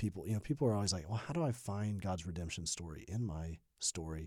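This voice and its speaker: A man with an American accent talks at a very fast pace in a dark, mellow tone. The recording is very clean, with a silent background. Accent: little Southern twang, trained out. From US South, Birmingham, Alabama. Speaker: pastor. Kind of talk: interview. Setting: studio.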